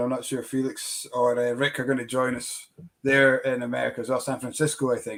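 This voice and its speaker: Someone with a Scottish accent talks at a fairly quick pace. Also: man. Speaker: whisky shop host. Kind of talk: casual chat.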